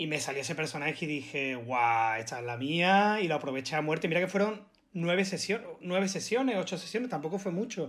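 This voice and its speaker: With an Andalusian accent, a man talks at a fairly quick pace and high pitch with lively intonation. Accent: Andalusian (Málaga). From Málaga, Andalusia, Spain. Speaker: actor. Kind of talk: casual chat.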